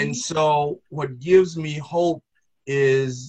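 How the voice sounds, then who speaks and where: A man with an American accent sounds somewhat breathy against a quiet background. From US South, Greensboro, North Carolina. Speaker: Episcopal priest, retired Marine officer. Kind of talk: interview conversation.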